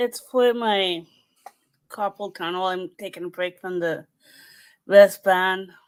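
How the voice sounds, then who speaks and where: A woman speaks at a very slow pace with long, frequent pauses and big swings in loudness. Her medium pitch carries fairly even intonation on a very clean recording with a silent background. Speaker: live stream host. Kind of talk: casual chat. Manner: soft-spoken. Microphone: too quiet.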